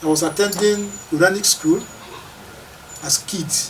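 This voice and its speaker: A man with fairly even intonation, over noticeable background noise. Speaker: traditional ruler, Ohi of Okene. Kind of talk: interview answer, life story. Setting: interview.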